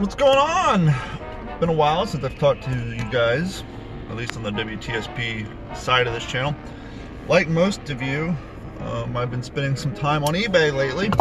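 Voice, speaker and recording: Clear background music, a dry echo-free sound, long and frequent pauses, and a moderate pace. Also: man. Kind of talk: casual vlog chat. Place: car. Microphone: phone near.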